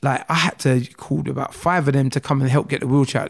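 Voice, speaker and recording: A somewhat breathy man talks at a fairly quick pace in a fairly high pitch. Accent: South London. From South London (Croydon, South Norwood). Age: 30s. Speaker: motivational speaker, shooting survivor. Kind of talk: casual interview.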